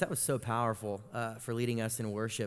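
A man with an American accent has a plain, everyday voice. His pitch is medium and his pace fairly quick. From Florida, Tallahassee. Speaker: youth pastor. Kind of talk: sermon.

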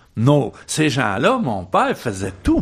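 At a very slow pace, a man speaks with a Quebec accent. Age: 80s+. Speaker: activist and author. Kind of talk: radio interview. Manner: halting, many repetitions and fillers.

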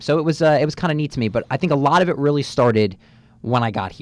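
Here a man speaks with a New Jersey accent. He goes at a very fast pace. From North Jersey, USA. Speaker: student radio manager. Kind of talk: radio interview. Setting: radio studio.

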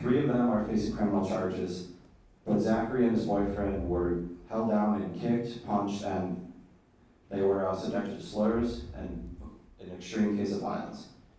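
A man with a fairly low pitch speaks at a moderate pace with ordinary pitch variation. Audible room echo surrounds his voice. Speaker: university student. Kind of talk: panel talk.

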